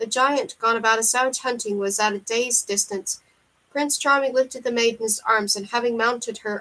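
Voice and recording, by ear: Someone reads aloud naturally, and the pitch moves in an ordinary way.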